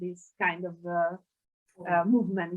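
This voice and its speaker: A woman speaks with an Italian accent. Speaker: sociolinguist. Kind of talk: panel discussion. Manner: halting.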